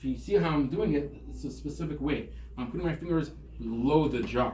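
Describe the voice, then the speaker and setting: A man talks at a fairly quick pace. The room echo is audible and background noise is noticeable. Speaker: rabbi and CPR instructor. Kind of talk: tutorial. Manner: fast.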